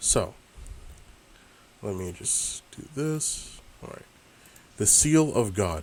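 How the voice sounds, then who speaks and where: Big swings in loudness mark this very slow delivery, which has long, frequent pauses and audible room echo. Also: man. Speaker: bible study teacher. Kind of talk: bible study talk with scripture reading. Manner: slow with pauses; hesitant, many fillers.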